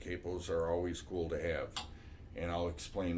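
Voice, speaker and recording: A man talks in a very deep, low voice that is somewhat breathy. Room echo is audible. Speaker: music teacher. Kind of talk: tutorial. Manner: casual, with many fillers.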